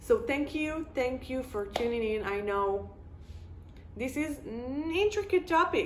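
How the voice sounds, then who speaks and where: A woman with an Israeli accent speaks at a fairly slow pace. Her high pitch makes very wide pitch swings. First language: Hebrew. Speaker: video blogger. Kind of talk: casual monologue.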